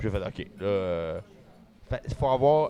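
A man with a Quebec accent and very wide pitch swings, with music in the background. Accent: Québécois French. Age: 30s. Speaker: magician. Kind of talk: casual chat. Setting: restaurant.

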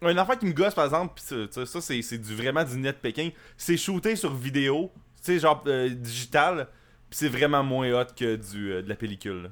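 A man speaks with a Quebec accent at a medium pitch and a moderate pace, with lively intonation. The recording is very clean with a silent background. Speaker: podcast co-host. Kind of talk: casual chat.

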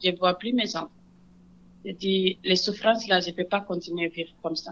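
A woman with a medium pitch speaks at a fairly slow pace. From Senegal. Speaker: refugee immigrant. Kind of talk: personal testimony.

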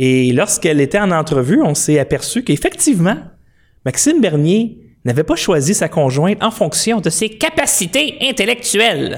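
A high-pitched man with a Quebec accent talks at a moderate pace, his pitch swinging very widely while his loudness stays very even. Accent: Québécois French. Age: 40s. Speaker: political commentary livestreamer. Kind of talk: political commentary monologue. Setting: home studio, live stream.

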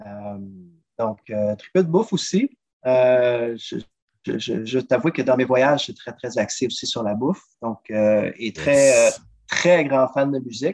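A man at medium pitch, lively intonation, very slow pace. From Quebec, South Shore of Montreal. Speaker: drummer and travel agent. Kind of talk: casual interview.

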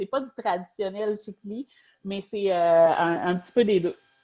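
With a Quebec accent, a woman speaks at a fairly slow pace in a medium pitch with ordinary pitch variation. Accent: Québécois French. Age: 30s. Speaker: novelist. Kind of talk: interview.

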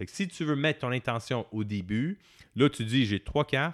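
At a fairly slow pace, a man talks with lively intonation and a medium pitch. He has a normal speaking voice. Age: 40s. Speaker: tarot and meditation teacher, author. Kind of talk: casual interview.

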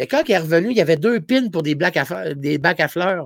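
A man with a Gaspésie accent and a high pitch, fairly quick and lively in intonation, in a dry, close sound with no echo. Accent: Gaspésie accent, noticeable. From Gaspésie, Quebec. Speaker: comedian. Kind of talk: casual chat.

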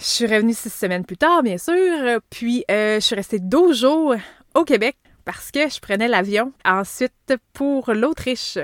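A woman speaks very slowly at a high pitch, her voice dry and close with no echo. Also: lively intonation, very clean recording, silent background. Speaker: podcast host. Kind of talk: solo podcast monologue.

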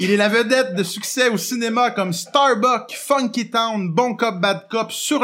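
A man at a fairly slow pace, with ordinary pitch variation, on a very clean recording with a silent background. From Quebec, Montreal. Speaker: podcast host. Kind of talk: casual chat.

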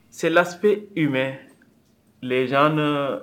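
A man speaks at a very slow pace. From Senegal. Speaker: community organization leader. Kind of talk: interview.

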